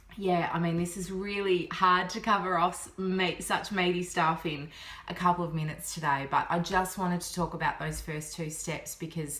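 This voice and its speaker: A woman's fairly low voice with an Australian accent, hardly any pauses and big swings in loudness, over noticeable background noise. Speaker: business coach. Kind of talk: vlog-style tutorial. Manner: fast; animated.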